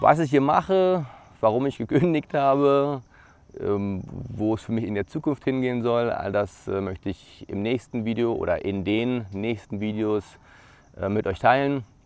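Fairly slow and marked by long, frequent pauses, a man's delivery has a medium pitch and lively intonation. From Brandenburg, eastern Germany. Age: 30s. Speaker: YouTuber, former air traffic controller. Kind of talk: vlog self-introduction. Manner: casual with frequent filler words.

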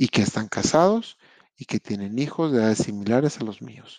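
Speaking at a medium pitch, a man goes at a fairly slow pace with ordinary pitch variation, in a dry, close recording with no echo. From Monterrey, Mexico. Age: 30s. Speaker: podcast host. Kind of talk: motivational monologue. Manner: conversational.

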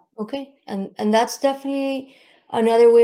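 Her tone dark and mellow, a woman speaks on a very clean recording with a silent background. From Miami. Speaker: podcast host. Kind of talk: interview.

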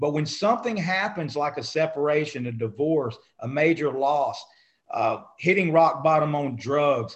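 This man's voice is fairly high in pitch with ordinary pitch variation. He keeps a moderate pace. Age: 50s. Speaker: small business owner. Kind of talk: casual interview. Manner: animated.

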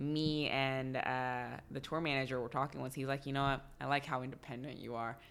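A woman speaks with a very deep, low voice. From Texas. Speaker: dancer and comedian. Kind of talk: casual chat.

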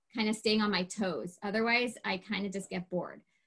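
A woman has an ordinary speaking voice. Her pitch is fairly high, with ordinary variation. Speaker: temple communications coordinator and preschool assistant. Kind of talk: casual interview chat.

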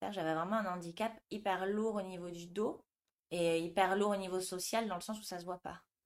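A woman talks at a moderate pace with a medium pitch. Her intonation stays monotone and flat. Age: 30s. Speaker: yoga teacher. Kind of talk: interview.

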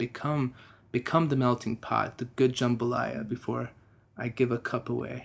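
This man has a plain, everyday voice at a medium pitch and an American accent. He talks at a moderate pace with fairly even intonation. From Texas. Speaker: musician. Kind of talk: interview. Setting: studio.

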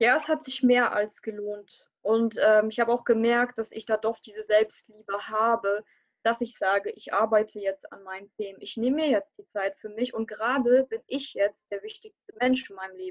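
An ordinary speaking voice from a woman, fairly high in pitch, with big swings in loudness, hardly any pauses, and a dry, close sound with no echo. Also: ordinary pitch variation, moderate pace. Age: 20s. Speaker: coaching client. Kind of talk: testimony interview. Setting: live online stream.

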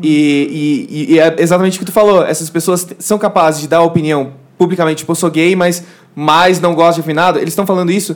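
A man speaks at a very fast pace in a high pitch. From southern Brazil. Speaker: YouTuber. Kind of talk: casual chat. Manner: animated.

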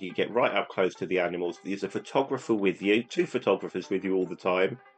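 A man talks very fast at a fairly low pitch with ordinary pitch variation. Music plays in the background. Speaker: travel agent and Disney podcaster. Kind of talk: casual chat.

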